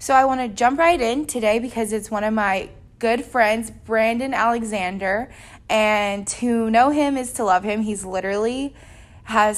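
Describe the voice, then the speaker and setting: This is an unremarkable speaking voice, a woman's, fairly high in pitch with ordinary variation. She talks at a fairly slow pace with an American accent. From US South, small country town. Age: 20s. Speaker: podcast host. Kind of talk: casual chat.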